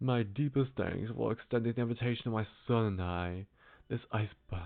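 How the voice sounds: The pitch moves in an ordinary way in this natural reading voice.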